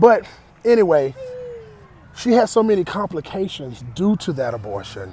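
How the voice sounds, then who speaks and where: A man speaks with very wide swings in pitch over noticeable background noise. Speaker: vlogger. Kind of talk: personal vlog testimony. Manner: halting, repetitive.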